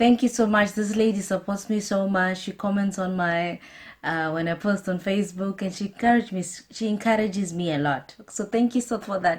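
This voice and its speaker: A woman speaks at a fairly quick pace with a medium pitch. Her voice is somewhat breathy, with fairly even intonation. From Zimbabwe, Harare. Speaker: YouTuber. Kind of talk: casual Q&A vlog. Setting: talking to camera.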